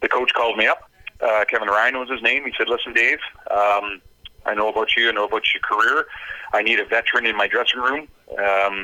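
Over noticeable background noise, a man with a western Canadian accent talks at a fairly quick pace. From Canada, North Vancouver. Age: 50s. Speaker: former pro hockey player, commentator. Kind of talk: interview.

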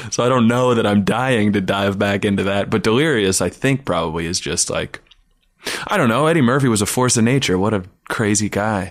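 In an unremarkable speaking voice, a man talks at a fairly quick pace with a fairly low pitch, ordinary pitch variation, and very even loudness. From Canada. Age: 30s. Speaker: comedian. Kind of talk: casual chat. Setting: home studio.

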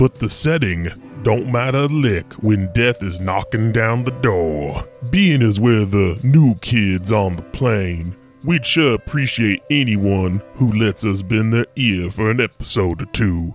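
Over clear music in the background, a man uses a put-on character voice that is gravelly and medium in pitch, at a fairly slow pace. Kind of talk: rustic, folksy.

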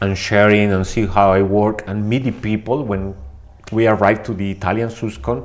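In a Spanish accent, a man talks at a fairly slow pace. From Mexico. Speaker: body piercer and suspension artist. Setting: recorded at a conference.

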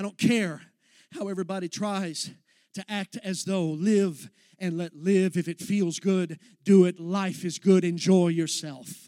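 A man with an American accent speaks at a fairly slow pace in a high pitch, his tone dark and mellow yet passionate and intense. The sound is dry and close with no echo, on a very clean recording with a silent background. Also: fairly even intonation. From Texas. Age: young. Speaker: young minister, guest preacher. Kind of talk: sermon. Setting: church service with congregation. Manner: passionate, intense.

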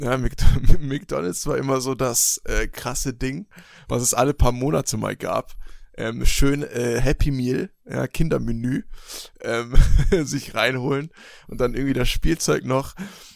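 The man's pitch is medium, with ordinary variation. He speaks at a very slow pace. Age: 20s. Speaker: podcast co-host. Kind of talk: casual chat.

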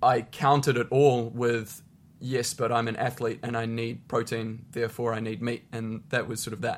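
This man speaks in a medium pitch with a New Zealand accent. His pace is moderate and his intonation is monotone and flat. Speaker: professional tennis player and charity founder. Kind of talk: interview.

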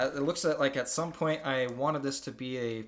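Someone is reading aloud in a natural voice.

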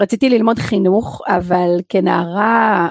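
A woman speaks with ordinary pitch variation in a dry, close recording with no echo. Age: 40s. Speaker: podcast host and personal coach. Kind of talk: personal monologue podcast.

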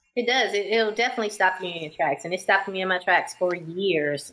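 Ordinary pitch variation in a woman's normal speaking voice at a medium pitch. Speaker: singer, podcast host and author. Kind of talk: casual interview chat.

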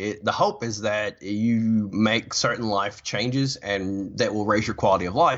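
Fairly low in pitch, a man talks in an ordinary speaking voice. His pace is moderate, with ordinary pitch variation. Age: 60s. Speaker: therapist. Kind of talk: casual chat.

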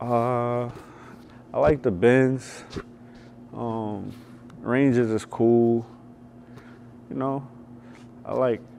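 A man of medium pitch speaks very slowly in a flat monotone, with long, frequent pauses. Noticeable background noise runs underneath. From New York. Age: 30s. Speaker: basketball skills coach. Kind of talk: casual interview. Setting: gym.

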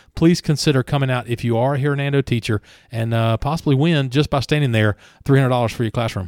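On a very clean recording with a silent background, a man with a Southern US accent speaks at a very fast pace. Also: medium pitch for a man, ordinary pitch variation, dry, close sound with no echo. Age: 40s. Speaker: local podcast co-host. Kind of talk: casual chat.

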